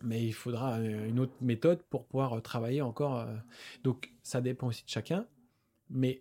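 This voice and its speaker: A man's dark, mellow voice at medium pitch, moderate pace and fairly even intonation, with long, frequent pauses, in a very clean recording with a silent background. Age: 30s. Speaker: osteopath. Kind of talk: casual chat. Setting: gym.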